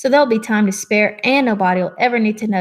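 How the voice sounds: Heard here is a natural reading voice whose pitch varies in an ordinary way.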